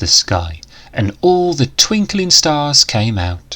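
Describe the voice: Big pitch swings and a fairly bright tone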